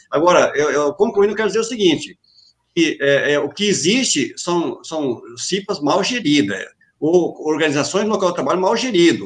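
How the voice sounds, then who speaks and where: Lively intonation runs through this man's high-pitched voice. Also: moderate pace. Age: 40s. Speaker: safety association president. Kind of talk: online panel discussion. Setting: video call live stream. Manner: halting, repeating words.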